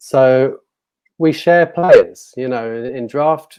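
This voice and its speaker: This man speaks with a British accent. His pitch is medium, with ordinary variation. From UK. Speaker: fantasy football site creator. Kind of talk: casual chat. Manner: halting.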